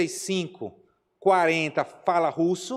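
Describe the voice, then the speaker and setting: A man with a northeastern Brazilian accent speaks in an animated tone at a high pitch. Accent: Aracaju (northeastern Brazilian). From Brazil, Aracaju (Sergipe). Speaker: missionary pastor. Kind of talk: Q&A talk in Sunday school class. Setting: church classroom.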